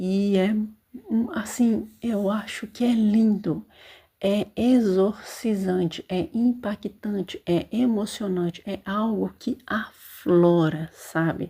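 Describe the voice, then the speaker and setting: A soft-spoken woman talks at a very slow pace with a medium pitch, ordinary pitch variation and a somewhat breathy quality, in a very clean recording with a silent background. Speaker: podcast host reviewing books and series. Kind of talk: casual monologue. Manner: hesitant fillers.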